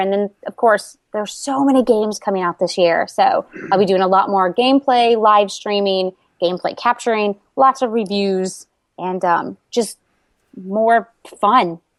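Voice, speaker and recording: With an American accent, a woman speaks in a bubbly tone at a medium pitch and moderate pace, using ordinary pitch variation, in a dry, close sound with no echo. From Florida, US. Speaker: YouTuber and cosplayer. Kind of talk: casual interview.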